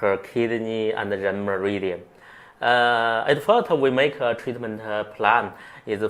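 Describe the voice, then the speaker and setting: With a Chinese accent, a man speaks at a medium pitch using fairly even intonation. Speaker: acupuncturist. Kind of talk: interview. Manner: halting.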